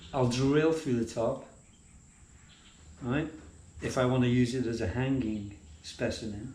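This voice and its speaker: Pausing long and often, a man with a British accent speaks at a fairly slow pace in a medium pitch with ordinary pitch variation. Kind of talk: casual vlog talk to camera.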